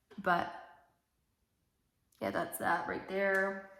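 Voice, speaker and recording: Audible room echo surrounds a woman speaking at a medium pitch with monotone, flat intonation. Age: 20s. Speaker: beauty vlogger. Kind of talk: casual makeup tutorial chat. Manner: casual, many fillers.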